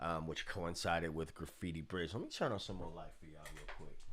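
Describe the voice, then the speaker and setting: A man is speaking. Audible room echo can be heard. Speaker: bass teacher. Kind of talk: tutorial. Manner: casual.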